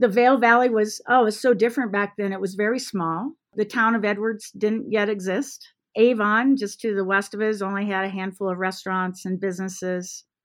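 A woman with a plain, everyday voice and an American accent speaks at a medium pitch and fairly quick pace, her intonation fairly even. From US Midwest, Iowa. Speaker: ski resort executive. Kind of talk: interview.

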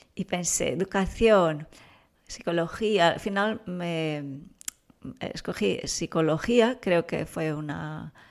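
The recording is very clean, and the background is silent. The woman's pitch shows ordinary variation. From Brazil. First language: Portuguese (speaking Spanish). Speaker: parenting expert and author. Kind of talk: interview. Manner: calm, soft-spoken.

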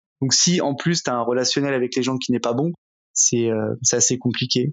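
A man talks in a monotone, flat intonation. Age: 30s. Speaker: entrepreneur. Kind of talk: interview. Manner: fast.

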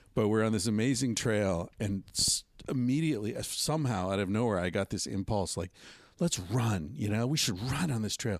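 In an American accent, a man with an unremarkable speaking voice talks at a moderate pace, fairly low in pitch with lively intonation, on a very clean recording with a silent background. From US, western Pennsylvania. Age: 50s. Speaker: author and podcast host. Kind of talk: casual chat. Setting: outdoors on a trip in Mexico.

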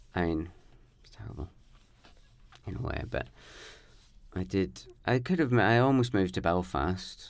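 In a Northern Irish accent, a man speaks at a very deep, low pitch with vocal fry, very wide pitch swings, big swings in loudness, and long, frequent pauses. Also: moderate pace. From Northern Ireland, near the border. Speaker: poet and performance artist. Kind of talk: casual interview chat.

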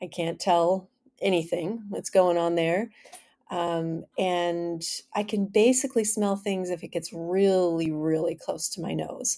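Fairly low in pitch, a woman's voice has a dark, mellow tone and fairly even intonation at a fairly slow pace. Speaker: podcast host. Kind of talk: casual monologue. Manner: clears throat often.

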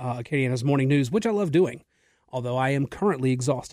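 This man talks at a very fast pace and a medium pitch. The recording is very clean, with a silent background. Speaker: radio host. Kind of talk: talk radio monologue. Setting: radio studio. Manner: energetic.

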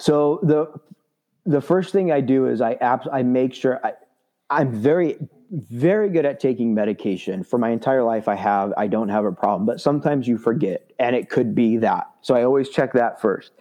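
A man speaks in a medium pitch with an American accent and lively intonation. His loudness stays very even at a moderate pace. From Southern California. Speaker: transplant recipient with type 1 diabetes. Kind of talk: interview.

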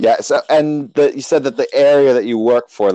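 At a fairly quick pace, a man speaks with a quiet background. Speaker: podcast host. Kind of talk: interview. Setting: video call. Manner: loud.

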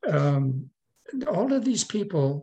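A man speaks at a very slow pace. The voice is somewhat breathy. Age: 70s. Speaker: retired adult film actor and director. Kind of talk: interview. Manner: halting, with many fillers.

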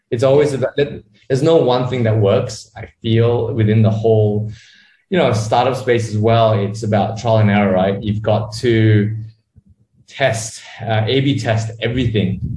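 In an audible room echo, a man with an Australian accent speaks fairly slowly, somewhat breathy, at a medium pitch with fairly even intonation. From Australia (Sydney), born in Malaysia. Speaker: startup co-founder. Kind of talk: interview.

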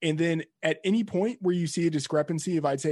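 A man with a plain, everyday voice speaks at a moderate pace in a fairly high pitch. His pitch varies in an ordinary way over a quiet background. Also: dry, close sound with no echo. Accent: American. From Texas. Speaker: fantasy sports editor. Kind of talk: casual interview.

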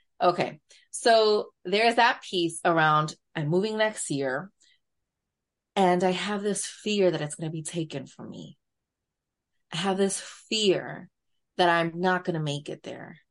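Speaking at a fairly slow pace with long, frequent pauses, a woman uses a fairly low pitch and ordinary pitch variation over a quiet background. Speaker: therapist. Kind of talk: casual interview conversation.

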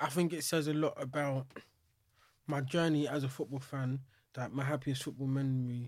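On a very clean recording with a silent background, a somewhat breathy man speaks at a medium pitch and moderate pace in a monotone, flat intonation. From England. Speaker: poet. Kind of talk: casual chat.

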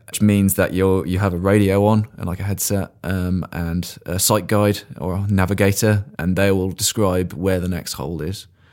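Someone with an English accent talks at a moderate pace in a monotone, flat intonation with hardly any pauses, in a very clean recording with a silent background. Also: man, very deep, low pitch for a man. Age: 30s. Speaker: blind paraclimber. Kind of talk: interview. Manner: hesitant, with fillers.

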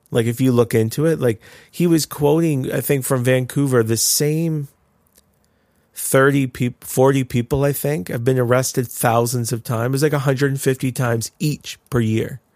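A man with a Canadian accent speaks in a normal speaking voice at medium pitch, with fairly even intonation and a moderate pace. The recording is very clean, with a silent background and a dry, close sound with no echo. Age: 30s. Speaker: pastor and podcast co-host. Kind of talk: casual chat.

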